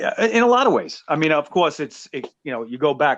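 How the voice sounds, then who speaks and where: Talking at a fairly quick pace, a man with a New York accent makes very wide pitch swings. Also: quiet background. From New York City (Brooklyn). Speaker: podcast host. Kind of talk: casual interview chat.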